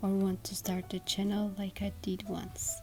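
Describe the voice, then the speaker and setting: A woman talks at a fairly slow pace while music plays in the background. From Georgia (country). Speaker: artist YouTuber. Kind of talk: vlog monologue.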